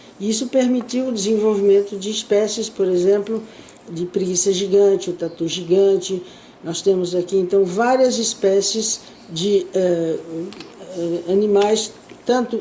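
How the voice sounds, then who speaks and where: Against noticeable background noise, a woman of medium pitch talks at a fairly slow pace with fairly even intonation. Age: 80s+. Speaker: archaeologist. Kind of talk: interview answer.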